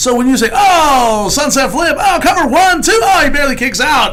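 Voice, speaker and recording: A man talking at a moderate tempo is heard with audible room echo and noticeable background noise. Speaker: comedian and former wrestling announcer. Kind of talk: casual chat. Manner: halting, with repeated restarts.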